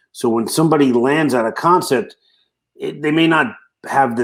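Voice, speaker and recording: On a very clean recording with a silent background, a man speaks with a Brooklyn accent and lively intonation. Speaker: franchise consultant. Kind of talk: casual interview chat.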